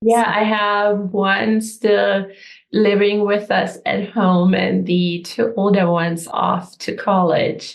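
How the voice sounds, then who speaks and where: A woman talks at a very slow pace in a German accent. Her intonation is fairly even. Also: medium pitch for a woman. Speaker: energy healer, coach. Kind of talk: interview answer.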